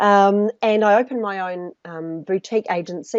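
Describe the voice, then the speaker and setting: A woman with a New Zealand accent. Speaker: personal branding specialist. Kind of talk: interview.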